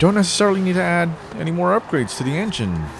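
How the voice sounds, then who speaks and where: A man talks at a moderate pace with very wide pitch swings, with noticeable background noise behind him. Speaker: gaming video creator. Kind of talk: gameplay commentary. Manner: halting, stops mid-sentence.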